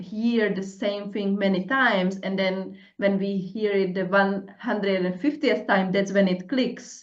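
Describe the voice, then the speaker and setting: A woman's medium-pitched voice, strong Czech accent, fairly slow delivery and fairly even intonation, with audible room echo. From Czech Republic. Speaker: podcast host, coach. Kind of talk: casual interview chat. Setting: podcast.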